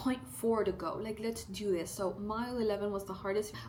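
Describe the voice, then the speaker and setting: A woman speaks fairly quickly in an animated tone at medium pitch, with audible room echo and noticeable background noise. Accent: American. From South Texas. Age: 20s. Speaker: lifestyle vlogger. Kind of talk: casual Q&A vlog.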